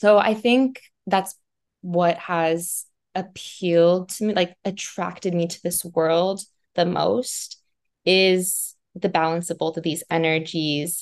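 At a very slow pace, a woman with an American accent speaks at a fairly low pitch with fairly even intonation. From Montana, US. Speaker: purpose coach. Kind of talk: interview conversation.

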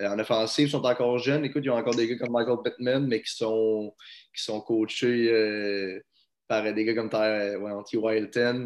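A man talks at a moderate pace. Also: quiet background. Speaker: podcast co-host. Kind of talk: casual sports chat.

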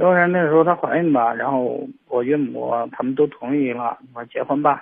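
Fairly high in pitch, a man talks at a fairly slow pace with ordinary pitch variation. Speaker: caller seeking marriage advice. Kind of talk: phone-in confession. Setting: phone call. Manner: halting, hesitant. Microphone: phone with earphones, poor sound.

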